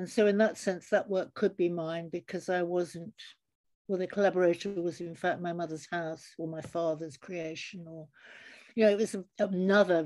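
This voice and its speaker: Her dark, mellow, fairly low voice carries a London accent, moving at a moderate pace with fairly even intonation and big swings in loudness, on a very clean recording with a silent background. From suburban London. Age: 70s. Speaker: photographer and artist. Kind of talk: interview.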